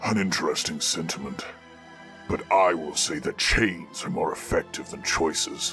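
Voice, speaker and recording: Clear music plays in the background. Over it, a man does a put-on character voice at a moderate pace. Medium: read story.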